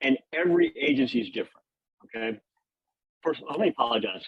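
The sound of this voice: A man speaks fairly quickly at a fairly high pitch, with very wide pitch swings. His voice has vocal fry and a slightly husky edge.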